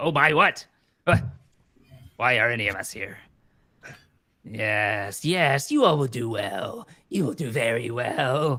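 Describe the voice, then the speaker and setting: Putting on a character voice, a man cackles in a raspy, medium-pitched tone with ordinary pitch variation, moving at a fairly slow pace with long, frequent pauses. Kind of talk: villainous theatrical voice. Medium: actual play. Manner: cackling, cryptic.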